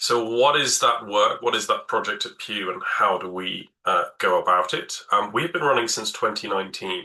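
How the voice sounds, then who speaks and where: Against a quiet background, a man speaks in a British accent at a fairly slow pace. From Britain. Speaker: environmental project director. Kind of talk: webinar presentation. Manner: hesitant, with fillers.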